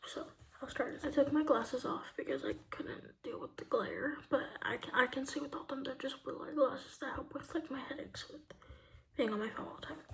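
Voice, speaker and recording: A woman's voice with noticeable background noise. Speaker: lifestyle vlogger. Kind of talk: casual monologue to camera. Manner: casual, hesitant with fillers.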